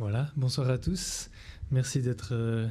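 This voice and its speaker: A man speaks at medium pitch and a moderate pace with a Swiss accent. His tone is dark and mellow, and somewhat breathy. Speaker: astrophysicist. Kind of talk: lecture.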